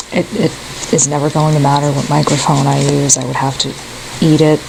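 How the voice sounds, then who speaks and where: The speaker is soft-spoken. Noticeable background noise runs under the voice. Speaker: tarot reader. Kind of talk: tarot reading. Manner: hesitant, many fillers.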